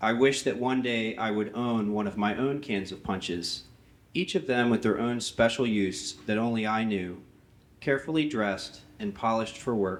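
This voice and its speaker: Speaking at a moderate pace, a man keeps a medium pitch. His pitch variation is ordinary. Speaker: artist blacksmith. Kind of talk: memorial tribute reading. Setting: memorial service with audience.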